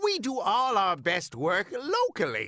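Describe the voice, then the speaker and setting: A man performs a cartoonish character voice at an extremely high pitch. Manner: rambling, chuckling.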